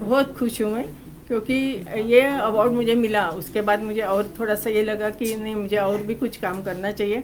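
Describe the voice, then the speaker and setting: A woman of fairly high pitch with a Marathi accent, hardly any pauses and fairly even intonation, amid noticeable background noise and audible room echo. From Maharashtra, India (Pune). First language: Marathi (speaking Hindi). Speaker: cookbook author. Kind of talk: press interview. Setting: press conference.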